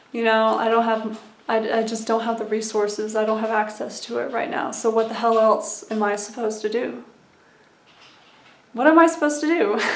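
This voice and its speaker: Recorded with audible room echo, a woman speaks fairly quickly at a fairly high pitch with fairly even intonation. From USA (military family, born in West Germany). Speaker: YouTuber sharing personal recovery journey. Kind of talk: casual vlog monologue. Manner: conversational with frequent fillers.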